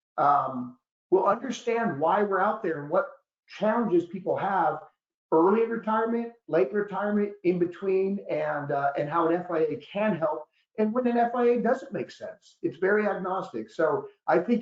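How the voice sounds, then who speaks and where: A man speaks loudly at a moderate pace, his voice pitched high. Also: lively intonation. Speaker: annuity expert and author, guest presenter. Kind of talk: webinar presentation. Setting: online webinar.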